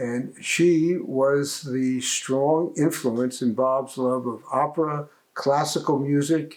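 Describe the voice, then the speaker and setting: A man with a New Jersey accent, fairly high in pitch, with fairly even intonation. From New Jersey, Passaic. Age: 70s. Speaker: interviewee, family member. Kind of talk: interview.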